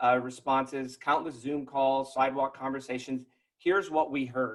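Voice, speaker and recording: The man's voice has a fairly high pitch. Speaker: neighborhood task force member. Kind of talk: prepared speech. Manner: fast.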